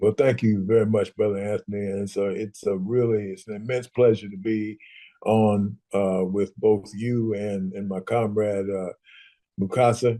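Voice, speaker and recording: Dry and close with no echo, a man speaks in a dark, mellow tone at a fairly low pitch, his intonation monotone and flat. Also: moderate pace. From US Midwest, Columbus, Ohio. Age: 70s. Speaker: activist and political scientist. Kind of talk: intergenerational dialogue, storytelling. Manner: halting, many fillers.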